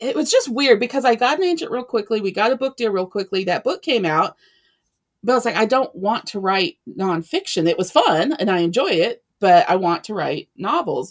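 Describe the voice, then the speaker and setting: In a very clean recording with a silent background, a woman speaks with very wide pitch swings. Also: moderate pace. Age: 40s. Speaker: romance author. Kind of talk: casual interview chat.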